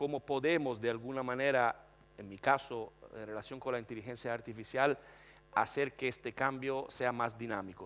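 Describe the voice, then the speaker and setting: The speaker has an Italian accent and ordinary pitch variation. The pace is moderate. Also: man. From Italy, Florence. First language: Italian (speaking Spanish). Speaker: panelist on technology and HR. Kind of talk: panel discussion.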